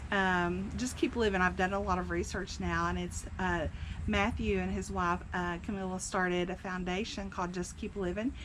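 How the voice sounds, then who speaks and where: The speech keeps a moderate pace, with audible room echo. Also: woman. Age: 60s. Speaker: senior living community vlogger. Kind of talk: personal testimony. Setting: outdoors on a cabin porch. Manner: casual, hesitant with fillers.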